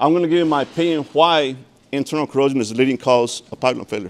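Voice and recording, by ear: A man's medium-pitched voice at a fast pace, with ordinary pitch variation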